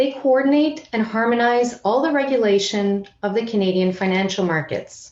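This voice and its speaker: Intonation rises and falls in a lively way. Speed stays moderate. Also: woman. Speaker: financial regulator. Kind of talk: conference presentation. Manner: loud; formal.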